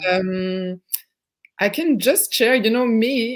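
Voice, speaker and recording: On a very clean recording with a silent background, a woman with a French accent speaks with fairly even intonation. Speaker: therapist. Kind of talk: casual chat. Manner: halting.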